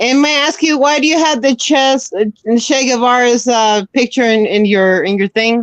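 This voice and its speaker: The speaker keeps a moderate pace with ordinary pitch variation and very even loudness, in a dry, close sound with no echo. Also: woman, high pitch for a woman. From South America, Bolivia. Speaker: live stream panelist. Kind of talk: casual chat.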